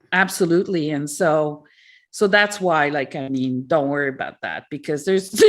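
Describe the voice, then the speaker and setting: Her pitch very deep and low, a woman talks at a moderate speed. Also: ordinary pitch variation. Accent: French. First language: French. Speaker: author. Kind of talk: interview. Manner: halting.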